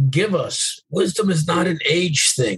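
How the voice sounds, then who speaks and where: A man talks in an ordinary speaking voice. His pace is fairly slow and his pitch varies in an ordinary way. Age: 50s. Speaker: podcast host and mentor to veterans. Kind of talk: motivational monologue.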